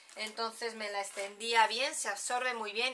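Light background noise runs under a woman's voice. She speaks at a moderate pace with monotone, flat intonation. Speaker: beauty vlogger. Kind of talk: casual vlog chat. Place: home room. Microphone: camera far.

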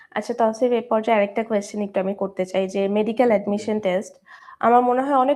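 A woman with a plain, everyday voice at a fairly high pitch. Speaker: medical student and chemistry instructor hosting interview. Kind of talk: live interview show. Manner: formal.

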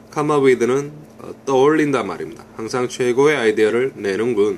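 A man talks at a fairly slow pace with ordinary pitch variation. There is light background noise. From South Korea. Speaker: English teacher. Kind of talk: language lesson. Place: home room. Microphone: phone near.

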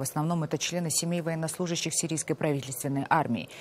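With a dark, mellow tone and ordinary pitch variation, a woman speaks in a dry sound with no echo. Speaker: news anchor. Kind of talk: news reading. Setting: studio. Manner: formal. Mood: serious, measured. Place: studio. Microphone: lapel.

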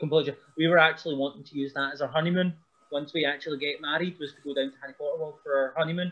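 Speaking in a Scottish accent, a man talks at a very fast pace with a fairly high pitch. His intonation is monotone and flat, while his loudness swings widely. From Scotland. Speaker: pro wrestler; podcast guest. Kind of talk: casual chat. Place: home room. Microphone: video call.

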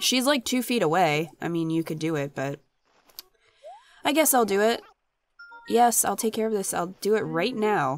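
With music in the background, a woman speaks with very wide pitch swings and long, frequent pauses. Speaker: gaming youtuber. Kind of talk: let's play commentary. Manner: casual, chatty.

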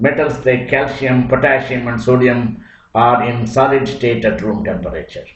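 This man's voice sits at a medium pitch, and audible room echo surrounds it. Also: ordinary pitch variation. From rural Chitradurga district, Karnataka. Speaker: science teacher. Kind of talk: lecture. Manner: colloquial village dialect.

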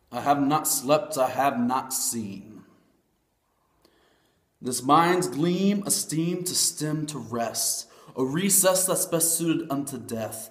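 Speech comes at a very slow pace with lively intonation and long, frequent pauses. The background is quiet, though room echo is audible. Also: man, fairly high pitch for a man. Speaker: spoken word poet. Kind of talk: spoken word poetry performance. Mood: emotional, earnest, religious. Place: home room. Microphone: webcam.

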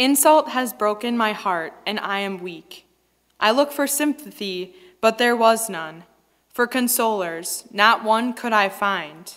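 Over a quiet background, a woman talks at a very slow pace with lively intonation. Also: fairly high pitch for a woman. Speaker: lector. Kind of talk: scripture reading aloud. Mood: solemn, measured. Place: church. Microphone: headset.

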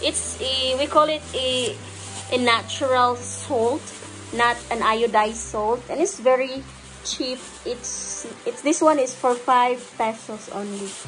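Over faint background music, a woman speaks very slowly at a high pitch with ordinary pitch variation. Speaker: vlogger showing purchases. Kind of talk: casual vlog chat. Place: home room. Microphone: phone near.

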